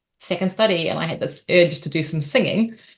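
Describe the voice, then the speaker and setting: Against a quiet background, a woman speaks fairly quickly with a New Zealand accent. Her voice is fairly low, with ordinary pitch variation. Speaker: opera singer and arts company leader. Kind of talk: interview talk. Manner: hesitant fillers.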